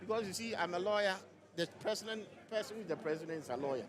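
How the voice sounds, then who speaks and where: A man's animated, high-pitched voice at a very fast pace amid noticeable background noise. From Ghana. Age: 60s. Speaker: lawyer and party official. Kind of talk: live interview at party congress.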